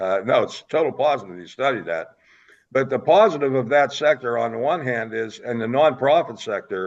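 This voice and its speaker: Speaking at a fairly quick pace, a medium-pitched man shows vocal fry and lively intonation. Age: 70s. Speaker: political talk show host. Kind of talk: interview. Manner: animated.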